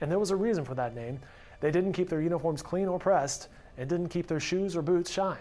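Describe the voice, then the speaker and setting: Music plays behind a man speaking. His voice is high in pitch. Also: ordinary pitch variation, fairly quick pace. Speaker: news reporter. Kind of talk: news report narration.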